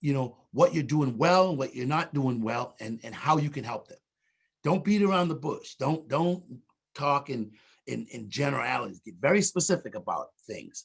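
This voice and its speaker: Using a fairly high pitch with vocal fry and lively intonation, a man speaks at a moderate pace. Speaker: diversity trainer, restaurant industry speaker. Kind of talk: webinar presentation. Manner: loud.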